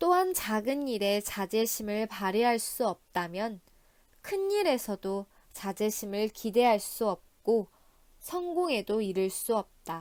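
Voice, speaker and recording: With a calm tone and lively intonation, a woman speaks very slowly at a fairly high pitch. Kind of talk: audiobook reading. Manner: calm, soft-spoken.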